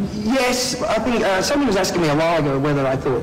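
A man talks fairly quickly, his pitch varying in an ordinary way, with noticeable background noise behind him. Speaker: interviewee. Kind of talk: interview answer. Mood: relaxed, reflective.

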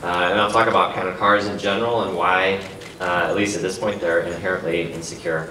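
A man's very deep, low voice at a very fast pace, with ordinary pitch variation, light background noise and audible room echo. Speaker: keynote speaker. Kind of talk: conference keynote talk. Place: hall.

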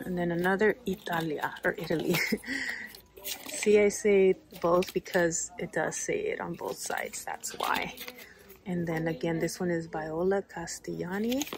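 The speech moves at a moderate pace, with a dry sound with no echo and light background noise. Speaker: shopping vlogger. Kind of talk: casual vlog chat. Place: shop. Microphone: phone near.

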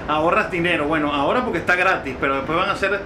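A man speaks over noticeable background noise. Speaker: travel vlogger. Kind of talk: casual vlog chat. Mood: cheerful, enthusiastic. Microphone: phone near.

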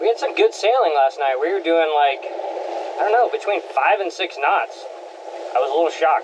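Noticeable background noise under fairly quick delivery. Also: man. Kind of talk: casual vlog chat. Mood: relaxed, content. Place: boat. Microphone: camera far.

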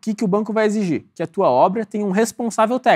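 On a very clean recording with a silent background, a man talks at a high pitch with a dry, close sound with no echo. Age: 20s. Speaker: civil engineer and home builder. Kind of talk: casual chat.

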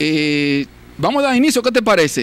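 A man's voice is heard in a dry sound with no echo. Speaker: TV show host. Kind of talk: show host introduction. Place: studio. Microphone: handheld.

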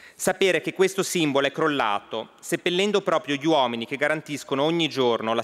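Against a quiet background, a man with fairly high pitch and ordinary pitch variation talks at a fairly quick pace. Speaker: member of parliament. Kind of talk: parliamentary oratory, solemn speech; parliamentary speech. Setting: parliament chamber. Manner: solemn, formal. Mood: grave, solemn. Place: hall. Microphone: podium.

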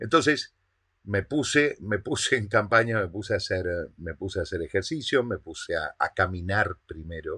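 A man with a fairly low pitch and a bright, sharp tone talks at a moderate pace against a quiet background. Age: 40s. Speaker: online business coach. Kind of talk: motivational monologue. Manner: halting, with frequent word repetitions. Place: home room.

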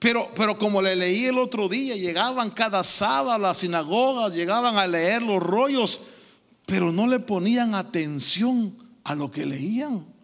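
The background stays quiet. A man speaks fairly slowly, his intonation lively. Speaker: preacher. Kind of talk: sermon. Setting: church. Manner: halting, repeating words, interactive preaching. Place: church. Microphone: handheld.

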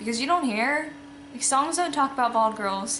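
A woman speaks with audible room echo and light background noise. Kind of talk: casual vlog chat. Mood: candid, reflective, matter-of-fact. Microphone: phone near.

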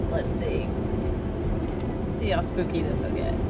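A woman's voice with music in the background. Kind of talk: casual vlog chat. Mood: playful, amused. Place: car. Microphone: phone near.

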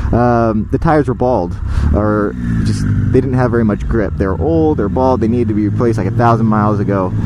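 A man's fairly low-pitched voice competes with loud background noise. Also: ordinary pitch variation, fairly quick pace, very even loudness, dry sound with no echo. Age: 30s. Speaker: motorcycle vlogger. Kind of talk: casual storytelling monologue. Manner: hesitant, many fillers. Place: motorbike. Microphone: helmet.

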